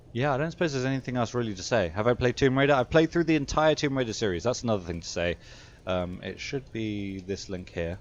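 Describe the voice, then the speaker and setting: At a very fast pace, a man with a British accent speaks with lively intonation. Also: medium pitch for a man. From Britain. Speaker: video game streamer. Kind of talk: live gameplay stream chat. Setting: home streaming setup, camera off. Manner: mumbling; halting, many filler sounds.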